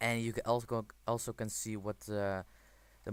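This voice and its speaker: Spoken at a fairly slow pace in a non-native accent, the voice stays monotone and flat, recorded very cleanly against a silent background. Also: man. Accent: non-native English accent, self-noted. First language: not English. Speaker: gaming video creator. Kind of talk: game tutorial with screen commentary. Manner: casual, with frequent fillers.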